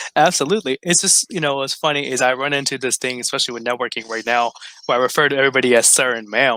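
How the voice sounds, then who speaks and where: A man with an American accent talks at a very fast pace, with ordinary pitch variation. The sound is dry and close with no echo, though noticeable background noise is present. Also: medium pitch for a man. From Texas, Dallas. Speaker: chiropractor. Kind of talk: podcast interview.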